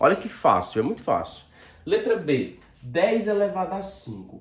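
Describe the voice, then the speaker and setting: A man speaking at a very slow pace. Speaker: school math teacher. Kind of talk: video lesson.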